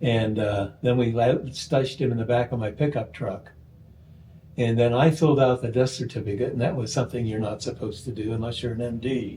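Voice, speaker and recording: Dark and mellow in tone, a man's somewhat breathy voice moves at a fairly quick pace. His intonation is fairly even. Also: medium pitch for a man. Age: 80s+. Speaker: oral historian and radio producer. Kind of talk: interview storytelling. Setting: at home.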